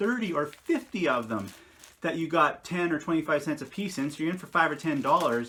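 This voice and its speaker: A man shouts loudly in a bright, sharp tone. His delivery is animated, with lively intonation. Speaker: reseller showing garage sale finds. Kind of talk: casual video tutorial. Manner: loud, yelling.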